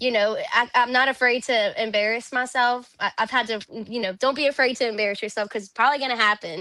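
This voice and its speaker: The speaker has a Louisiana accent and a bright, sharp tone. The pace is very fast, with hardly any pauses and fairly even intonation. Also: woman, high pitch for a woman. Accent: Louisiana Southern US. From Louisiana (Zachary, near Baton Rouge). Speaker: country singer. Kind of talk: interview conversation. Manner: casual, filler-heavy.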